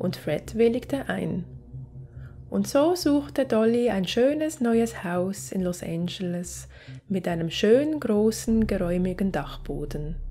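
A woman's medium-pitched, somewhat breathy voice with a dark, mellow tone, very wide pitch swings and a very slow pace. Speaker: true crime narrator. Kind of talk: true-crime storytelling narration. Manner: measured, suspenseful storyteller; conversational, directly addressing viewers.

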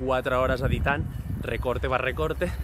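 Against noticeable background noise, a man speaks in a dry recording with no echo. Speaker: travel vlogger. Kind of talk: casual vlog chat. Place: street. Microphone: phone near.

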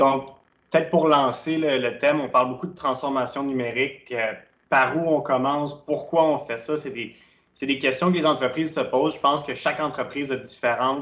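Moderate pace, fairly even intonation and a Quebec accent over a quiet background. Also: man, fairly high pitch for a man. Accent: Québécois French. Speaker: webinar host. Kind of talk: interview. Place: home room. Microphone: webcam.

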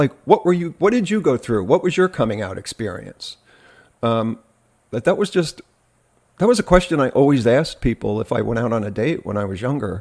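Someone with an American accent speaks at a fairly quick pace, the pitch swinging very widely, over a quiet background. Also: man, medium pitch for a man. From New Jersey. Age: 50s. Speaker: podcast host. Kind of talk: casual chat. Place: home room.

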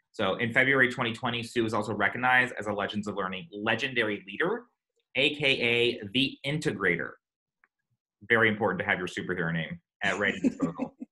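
A man speaks with a bright, sharp tone and ordinary pitch variation. The background is quiet. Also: fairly quick pace. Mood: upbeat, joking. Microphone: video call.

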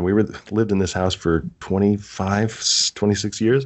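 This is a man speaking with an American accent. His voice sits fairly low. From Wisconsin (Delavan). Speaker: podcast co-host and writing coach. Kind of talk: casual chat; sales pitch.

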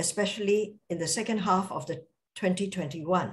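A woman's somewhat breathy voice at a fairly slow pace. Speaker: invited distinguished lecturer. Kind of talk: lecture. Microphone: video call.

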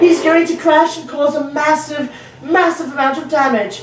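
A woman speaks in a high voice at a moderate pace. Noticeable background noise runs underneath. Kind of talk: comic sports commentary parody, scripted-sounding bit with a character voice.

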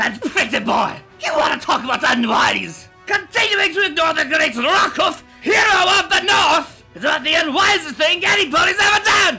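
A man shouts in a raised, put-on character voice, extremely high in pitch, bright and sharp, with vocal fry and lively intonation. He makes few pauses, with audible room echo and faint music in the background. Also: moderate pace.

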